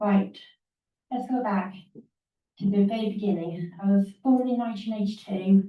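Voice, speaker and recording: Her tone dark and mellow, a woman speaks somewhat breathily with fairly even intonation. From England. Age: 40s. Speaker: conference speaker with a rare syndrome. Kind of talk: prepared talk. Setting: stage with audience. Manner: halting, with repeated words.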